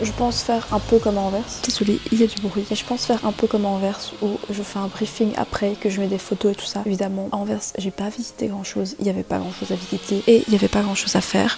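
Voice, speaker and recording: A woman talks at a very fast pace with a medium pitch and a flat, monotone delivery. Noticeable background noise sits behind her. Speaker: vlogger. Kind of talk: casual vlog.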